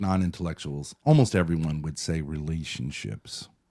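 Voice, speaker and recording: A man's dark, mellow voice at a moderate pace, on a very clean recording with a silent background. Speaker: streamer reviewing his call-in to a show. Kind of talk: casual chat.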